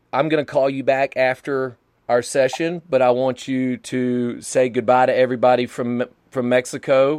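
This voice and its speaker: The man's pitch sits at a medium level. His voice sounds dry and close, with no echo. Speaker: podcast host and DJ. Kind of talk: casual chat. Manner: animated.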